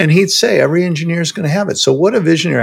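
A man speaks with an American accent. Vocal fry runs through his voice. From US Midwest (Chicago). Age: 60s. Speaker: software entrepreneur. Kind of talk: interview.

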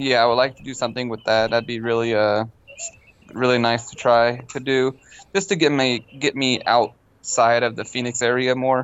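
A man with an ordinary speaking voice and an American accent talks at a moderate pace and medium pitch, his intonation fairly even. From Long Beach, California. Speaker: fabricator and amateur drifter. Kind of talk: casual chat.

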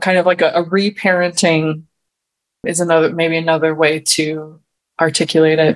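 With an American accent, a woman speaks at a moderate pace and a fairly low pitch. Her intonation is monotone and flat, and her loudness is very even. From Wisconsin. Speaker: women's circle facilitator and mentor. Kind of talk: podcast interview.

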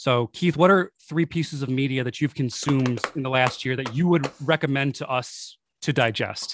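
A man with a Buffalo accent, fairly high in pitch, at a moderate pace with hardly any pauses and ordinary pitch variation, in a dry, close sound with no echo. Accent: Western New York (Buffalo) American. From Buffalo, New York. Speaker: podcast host. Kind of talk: interview. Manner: enthusiastic.

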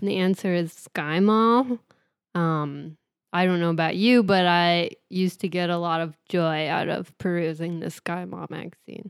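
A woman has an ordinary speaking voice with a fairly low pitch. She talks at a fairly slow pace. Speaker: podcast co-host. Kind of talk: casual chat.

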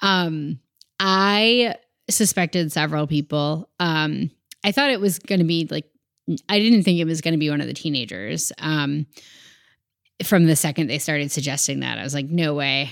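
Recorded very cleanly against a silent background, a woman with a very deep, low pitch talks at a moderate pace, using lively intonation and long, frequent pauses. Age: 30s. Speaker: podcast guest. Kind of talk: casual chat.

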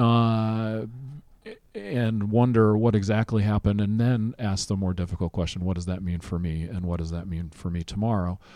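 On a very clean recording with a silent background, a man with a fairly low pitch and a dark, mellow tone speaks at a moderate pace with fairly even intonation. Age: 50s. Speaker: podcast host. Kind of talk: casual chat. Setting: convention venue.

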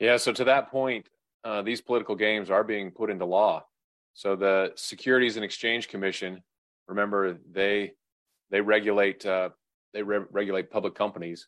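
At a moderate pace, this is a normal speaking voice with fairly even intonation. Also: man, fairly low pitch for a man. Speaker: podcast host. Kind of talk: casual political talk show.

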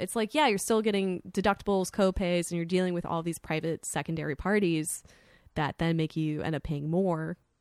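Heard dry and close with no echo on a very clean recording with a silent background, a woman with an American accent uses an unremarkable speaking voice, a fairly low pitch and ordinary pitch variation. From US, South Florida. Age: 20s. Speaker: art world worker, podcast guest. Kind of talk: casual chat. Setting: studio.

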